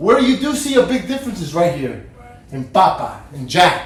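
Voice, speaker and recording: A man is heard amid noticeable background noise and audible room echo. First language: not English. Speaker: fantasy football podcast host. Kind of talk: casual podcast monologue. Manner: halting, many repeated words.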